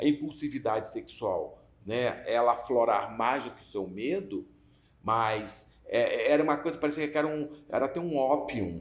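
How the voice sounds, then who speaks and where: Speaking at a fairly slow pace, a man uses a plain, everyday voice at medium pitch with ordinary pitch variation. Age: 60s. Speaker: activist interviewee. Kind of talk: documentary interview.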